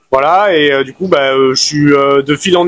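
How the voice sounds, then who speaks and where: A man with a fairly high pitch talks with fairly even intonation. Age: 30s. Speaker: fruit and vegetable seller. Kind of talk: street interview. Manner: hesitant, many fillers.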